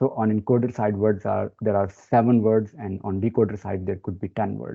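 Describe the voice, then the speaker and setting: This man talks at a moderate pace in a fairly low voice, with ordinary pitch variation. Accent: non-native. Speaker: data science expert presenter. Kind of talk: webinar presentation. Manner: hesitant with many fillers.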